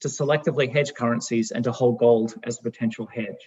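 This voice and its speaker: A man talks at a fairly quick pace. His medium pitch carries fairly even intonation. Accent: Australian. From Australia. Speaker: fund manager. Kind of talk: presentation. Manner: formal.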